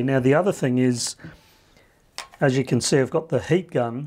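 A man's voice, with ordinary pitch variation, is heard against a quiet background. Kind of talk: tutorial. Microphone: camera far.

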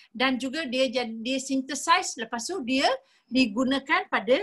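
Over a quiet background, a woman with a high pitch and a bright, sharp tone speaks at a fairly slow pace with ordinary pitch variation. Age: 50s. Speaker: nutritionist; presenter. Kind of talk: sales presentation. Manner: animated. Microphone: video call.

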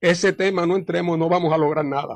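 A man speaks fairly quickly at a high pitch. The sound is dry with no echo against a quiet background. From Puerto Rico. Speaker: party leader and lawyer; radio interview guest, lawyer. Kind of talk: radio interview. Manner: halting with many fillers. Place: studio.

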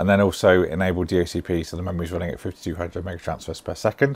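A man talks fairly quickly. His speech carries a British accent. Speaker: tech YouTuber. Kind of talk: product review.

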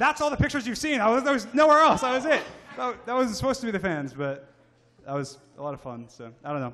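A man's raised, projected voice at extremely high pitch, very fast, with very wide pitch swings, big swings in loudness and light background noise. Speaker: online content creator. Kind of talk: live convention panel. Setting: stage with audience. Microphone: handheld.

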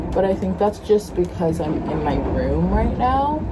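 There is loud background noise behind this woman. She talks at a fairly slow pace. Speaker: sailing vlogger. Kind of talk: casual vlog chat. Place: boat. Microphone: phone near.

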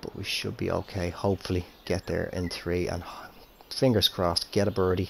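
With fairly level intonation, the speech proceeds at a medium speed. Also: man, very deep, low pitch for a man. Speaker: gaming YouTuber. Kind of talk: video game commentary. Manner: casual, chatty.

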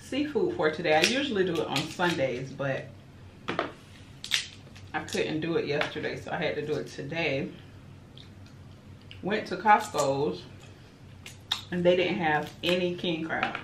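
A woman speaks at a fairly slow pace in a fairly low voice, with long, frequent pauses and noticeable background noise. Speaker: mukbang vlogger. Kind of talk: casual vlog chat. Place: home room.

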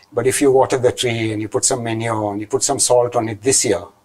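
Over a quiet background, a man speaks at a very fast pace with fairly even intonation. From Goa, India; India. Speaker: IT entrepreneur; interview guest. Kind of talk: interview. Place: studio.

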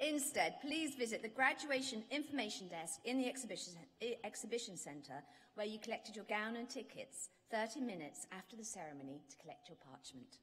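The speech moves at a fairly quick pace with very wide pitch swings and big swings in loudness. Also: woman. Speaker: ceremony announcer. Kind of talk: formal announcements. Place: hall. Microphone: podium.

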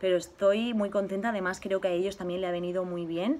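A woman speaks with ordinary pitch variation. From Spain. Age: 20s. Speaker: YouTuber. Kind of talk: Q&A vlog, casual chat. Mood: cheerful, warm. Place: garden. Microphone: phone near.

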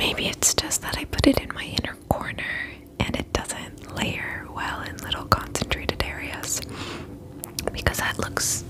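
Whispering at a fairly slow pace, a woman speaks. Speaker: beauty vlogger. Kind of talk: casual vlog chat. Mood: relaxed, cheerful. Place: home room. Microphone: webcam.

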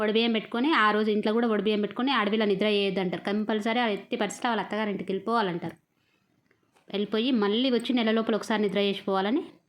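Fairly high-pitched, a woman keeps her loudness very even and her intonation fairly even. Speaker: vlogger. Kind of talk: casual vlog narration. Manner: chatty, informal.

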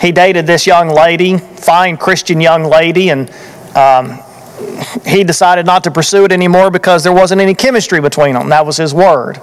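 Pitched high, a man talks at a moderate pace with fairly even intonation. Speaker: preacher. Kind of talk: sermon. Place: church. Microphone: podium.

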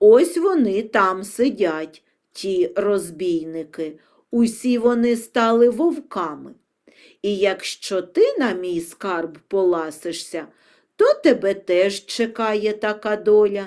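A woman's hoarse, croaky, put-on character voice at medium pitch and a fairly slow pace. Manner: warning, grim.

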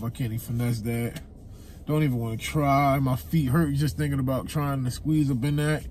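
Somewhat breathy, a man speaks at a moderate pace in a dry recording with no echo and light background noise. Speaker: vlogger. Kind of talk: casual vlog chat. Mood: amused, slightly disappointed. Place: car. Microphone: phone near.

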